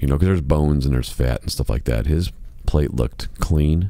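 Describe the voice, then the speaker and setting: With noticeable background noise behind him, a man with an American accent speaks in a very deep, low voice with ordinary pitch variation. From Chicago, US Midwest. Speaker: podcast host, musician. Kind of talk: casual monologue podcast. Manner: softer, lowered volume.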